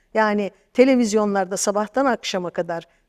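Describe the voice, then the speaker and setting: In a quiet background, a woman at a medium pitch speaks at a fairly slow pace with ordinary pitch variation. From eastern Turkey, Erzincan; Turkey. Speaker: translator and storyteller; bookseller, storyteller. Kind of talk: interview. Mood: critical, earnest. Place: studio. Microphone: lapel.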